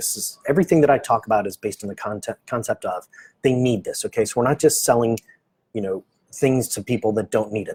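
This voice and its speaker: A man with an American accent speaks at a very fast pace in a somewhat breathy voice. The sound is dry and close, with no echo. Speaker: medical practice marketing consultant. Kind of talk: live stream presentation. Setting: office, Facebook live stream. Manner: casual, with many fillers.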